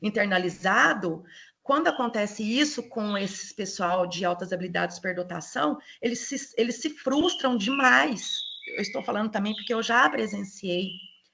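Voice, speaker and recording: A woman's medium-pitched voice with a bright, sharp tone and lively intonation. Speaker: lecturer, educational psychologist. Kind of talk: online lecture.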